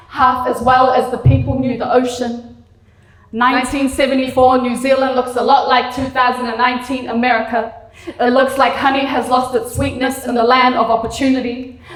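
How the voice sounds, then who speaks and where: Over noticeable background noise, a woman with a high pitch speaks at a moderate pace in a monotone, flat intonation. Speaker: spoken word poet. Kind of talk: spoken word poetry performance.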